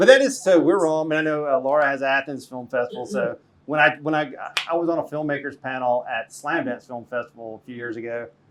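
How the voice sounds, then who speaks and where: Very fast speech in an American accent, with big swings in loudness and noticeable background noise. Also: man, fairly high pitch for a man, ordinary pitch variation. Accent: southern US hillbilly. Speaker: film festival director. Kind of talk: panel Q&A. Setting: live event with audience. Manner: casual, conversational.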